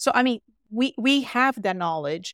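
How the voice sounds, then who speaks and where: A woman speaks at a fairly slow pace. The recording is very clean with a silent background and a dry, close sound with no echo. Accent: Portuguese. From Brazil. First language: Portuguese. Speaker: physician. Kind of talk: podcast interview.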